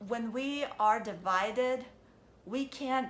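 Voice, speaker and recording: Audible room echo surrounds this woman's voice. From Ukraine. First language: Russian. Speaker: vlogger. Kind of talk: casual monologue vlog.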